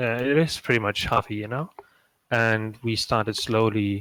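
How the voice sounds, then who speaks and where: In a German accent, a man of medium pitch speaks at a fairly slow pace. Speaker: game modder, stream co-host. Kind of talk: casual live stream chat. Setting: live stream.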